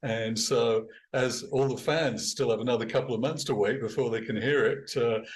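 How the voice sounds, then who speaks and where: With an English accent, a somewhat breathy man speaks at a fairly quick pace and medium pitch. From England. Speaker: band musician and producer. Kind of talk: casual chat.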